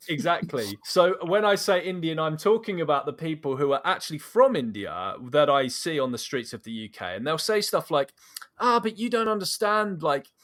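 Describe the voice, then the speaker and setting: With a British accent, a man talks at a moderate pace in a high, animated voice whose pitch swings very widely. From UK. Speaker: podcast host and vegan activist. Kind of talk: casual interview conversation.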